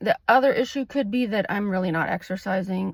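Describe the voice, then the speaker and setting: A woman speaks at a fairly quick pace in an ordinary speaking voice, her pitch medium with ordinary variation. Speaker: licensed clinical social worker. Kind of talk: casual vlog talk to camera. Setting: in a car.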